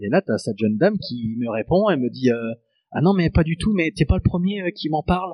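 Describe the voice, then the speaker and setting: A man with a fairly high pitch talks fairly quickly, his pitch swinging very widely. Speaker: guitarist. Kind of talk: casual chat.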